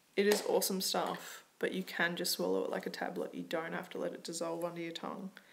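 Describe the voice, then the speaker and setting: At a moderate pace, a woman talks with an Australian accent. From Australia, Melbourne. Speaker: vlogger. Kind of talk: casual tutorial vlog.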